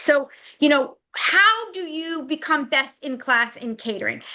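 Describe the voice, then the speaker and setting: A woman's raised, projected voice, high-pitched, bright and sharp in tone, with lively intonation at a moderate pace. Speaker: restaurant marketing consultant. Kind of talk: webinar presentation.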